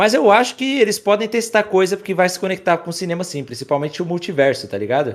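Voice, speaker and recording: Very wide pitch swings mark this man's very fast delivery. The recording is very clean, with a silent background. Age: 20s. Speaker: YouTube creator. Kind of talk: casual chat.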